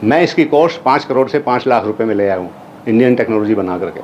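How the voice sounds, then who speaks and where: The voice moves at a moderate pace with lively intonation, backed by noticeable background noise. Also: man. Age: 70s. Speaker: retired army officer and inventor presenting his technology. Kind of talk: lecture presentation. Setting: university auditorium with audience. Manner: code-switching Hindi and English.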